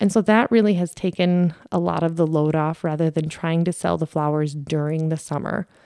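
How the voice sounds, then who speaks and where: A woman with a fairly low pitch and a dark, mellow tone speaks at a fairly quick pace with fairly even intonation. The sound is dry and close with no echo, on a very clean recording with a silent background. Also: hardly any pauses. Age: 30s. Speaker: podcast host. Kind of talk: casual monologue.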